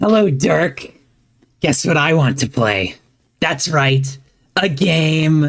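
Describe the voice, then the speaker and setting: A put-on character voice at a middle pitch, spoken at a very slow pace with long, frequent pauses. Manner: playful, creepy.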